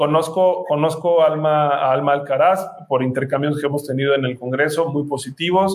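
A man with a fairly high pitch and fairly even intonation speaks at a moderate pace, with hardly any pauses. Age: 30s. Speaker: activist and political candidate. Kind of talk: interview. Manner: halting, repeats words.

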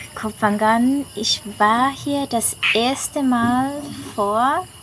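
A woman's high-pitched voice at a very slow pace, over noticeable background noise. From Switzerland. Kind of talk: casual interview.

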